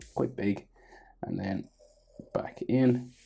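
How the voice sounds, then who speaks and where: A man with vocal fry and a dark, mellow tone speaks at a fairly slow pace with ordinary pitch variation. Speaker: art tutorial youtuber. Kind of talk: tutorial. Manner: casual, conversational.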